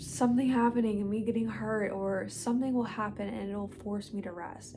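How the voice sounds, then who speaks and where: A woman is speaking. There is audible echo in the room. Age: 20s. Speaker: lifestyle vlogger. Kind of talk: casual chat.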